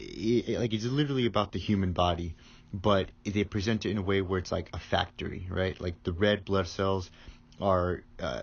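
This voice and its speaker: A man's very deep, low, somewhat breathy voice. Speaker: manga reviewer. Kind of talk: casual vlog monologue. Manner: monotone; halting, with frequent stutters and fillers.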